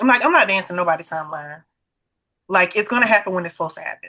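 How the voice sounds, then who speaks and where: A woman with a bright, sharp tone speaks at a medium pitch with ordinary pitch variation. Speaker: podcast host. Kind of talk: casual chat. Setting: call. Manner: animated.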